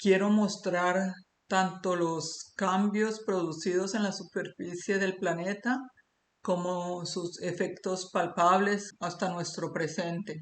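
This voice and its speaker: Intonation stays monotone and flat while the words come very slowly. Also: woman, medium pitch for a woman. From Colombia. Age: 60s. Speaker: amateur geologist and YouTuber. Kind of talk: monologue presenting a theory. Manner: hesitant with many fillers.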